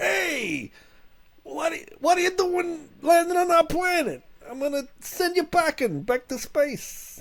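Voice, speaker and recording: A man's put-on character voice, extremely high in pitch. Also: fairly slow pace. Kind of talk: street-tough tone. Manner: funny, brash, threatening.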